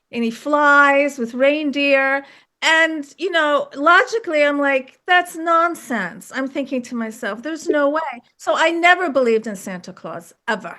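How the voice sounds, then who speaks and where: Speaking in a raised, projected voice with an American accent, a woman with a high pitch and a bright, sharp tone moves at a fairly slow pace with lively intonation and big swings in loudness over a quiet background. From US, Washington DC suburbs (born in Turkey). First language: Turkish. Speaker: UFO experiencer and author. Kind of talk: podcast interview.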